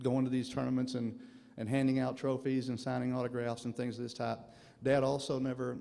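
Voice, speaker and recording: At a fairly quick pace, a man speaks in a dark, mellow tone with monotone, flat intonation. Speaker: son of inductee giving acceptance speech. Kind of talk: acceptance speech. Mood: reflective, proud. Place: hall. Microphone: podium.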